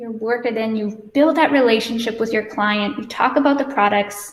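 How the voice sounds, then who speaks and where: Here is a woman with a plain, everyday voice and a fairly high pitch. She speaks at a moderate pace with fairly even intonation. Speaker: hair stylist educator. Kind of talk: live hair tutorial.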